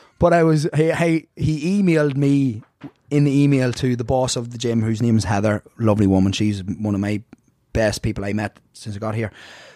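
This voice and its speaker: A man with a strong Irish accent, dark, mellow tone, lively intonation and a fairly quick pace. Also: medium pitch for a man. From Ireland. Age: 30s. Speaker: fitness instructor. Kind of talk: casual chat. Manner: animated.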